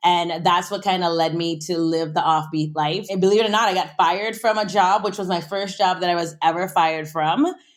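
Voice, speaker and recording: With a slight West Indian accent, a woman speaks fairly quickly and energetically with hardly any pauses, her pitch fairly low. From US Virgin Islands (St. Croix). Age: 30s. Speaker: food and travel entrepreneur. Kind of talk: interview.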